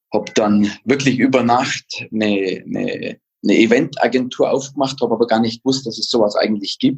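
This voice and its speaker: Speaking at a moderate pace, a man holds a medium pitch with ordinary pitch variation. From Allgäu, Bavaria. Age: 50s. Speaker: event agency owner and ski instructor. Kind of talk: casual interview. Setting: video call.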